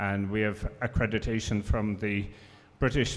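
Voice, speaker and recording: Fairly low-pitched male speech in an Irish accent at a moderate pace, in a very clean recording with a silent background. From Ireland. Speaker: professor. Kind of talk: panel discussion.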